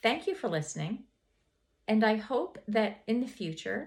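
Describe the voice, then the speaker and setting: Here a woman speaks in a fairly high pitch. Her voice is somewhat breathy and her pace fairly slow. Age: 60s. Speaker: lifestyle vlogger, homemaker. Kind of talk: casual vlog monologue. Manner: hesitant, many fillers and repeats.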